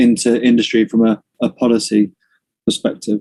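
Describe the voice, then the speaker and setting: The sound is dry and close with no echo as a man of medium pitch speaks in a dark, mellow tone. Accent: British. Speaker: construction industry director. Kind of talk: presentation. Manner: fast.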